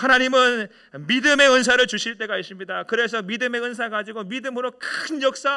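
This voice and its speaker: His voice is raised and projected. The man's tone comes across bright and sharp. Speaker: senior pastor. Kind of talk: sermon. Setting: church.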